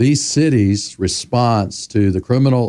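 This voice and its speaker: A man's dark, mellow tone on a very clean recording with a silent background. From US South, Memphis, Tennessee. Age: 60s. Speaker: community revitalization consultant. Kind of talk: interview.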